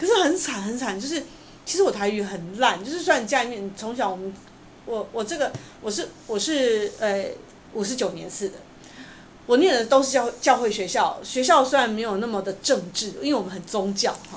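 A woman talks at a fairly quick pace with a fairly high pitch, lively intonation and big swings in loudness. Audible room echo and noticeable background noise surround her voice. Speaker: opera and puppet theatre playwright. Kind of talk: interview.

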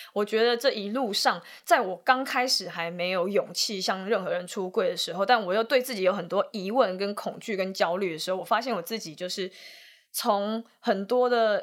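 A woman speaks in an unremarkable speaking voice, at a medium pitch and a moderate pace, with ordinary pitch variation. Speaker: film director. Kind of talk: casual chat.

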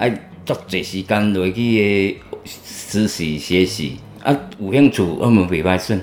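A man speaks at a very deep, low pitch with ordinary variation. His pace is fairly slow. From central Taiwan. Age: 40s. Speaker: recovering drug user, farm worker. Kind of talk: interview testimony. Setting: outdoor farm location. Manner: halting.

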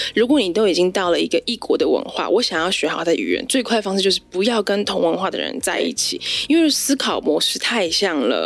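Over noticeable background noise, a woman talks at a very fast pace. Her pitch is medium, with very wide swings. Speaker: florist and flower arranging teacher. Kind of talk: casual interview chat.

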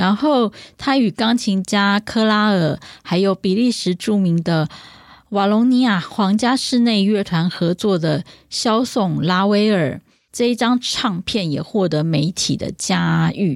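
A woman at medium pitch, very slow and very even in loudness, with ordinary pitch variation, on a very clean recording with a silent background. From Taiwan. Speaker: classical music podcast host. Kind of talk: casual chat.

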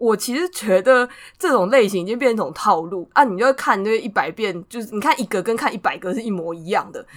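Speaking very fast, a woman has a fairly high pitch. Her loudness swings widely. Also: lively intonation, hardly any pauses. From Taiwan. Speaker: podcast co-host. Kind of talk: casual chat.

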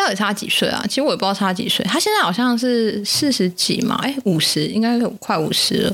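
The speaker has a Taiwanese accent and an animated tone, with lively intonation. The pace is fairly quick and the loudness stays very even. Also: woman, fairly high pitch for a woman. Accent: Taiwanese Mandarin. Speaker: podcast co-host. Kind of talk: casual chat. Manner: talkative, animated.

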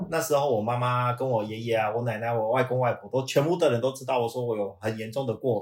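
A man speaks fairly quickly in a plain, everyday voice. His medium pitch varies in an ordinary way. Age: 50s. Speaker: management consultant. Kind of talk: casual chat.

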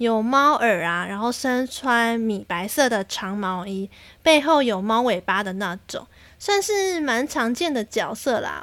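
In a Taiwanese accent, a woman speaks at a fairly slow pace with a fairly high pitch. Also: lively intonation. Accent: Taiwanese Mandarin. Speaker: podcast host. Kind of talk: casual solo monologue. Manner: animated.

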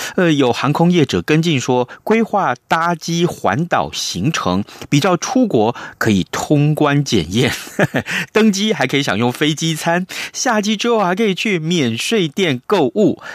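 A man with a fairly high pitch speaks at a fairly slow pace, his tone animated and his pitch swinging very widely. The sound is dry and close with no echo, and his loudness stays very even. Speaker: radio host. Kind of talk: radio interview and news review. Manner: animated, expressive.

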